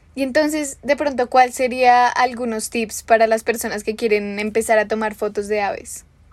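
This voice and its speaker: A woman's fairly high-pitched voice at a moderate pace, with fairly even intonation and hardly any pauses. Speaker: podcast host. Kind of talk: interview.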